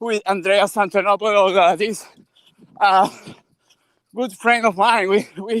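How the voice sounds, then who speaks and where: A man's high voice, fairly slow and monotone with long, frequent pauses, in a dry, close sound with no echo. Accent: Venezuelan. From Venezuela. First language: Spanish. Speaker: bitcoin educator and translator. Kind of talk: casual chat. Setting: outdoors. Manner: halting.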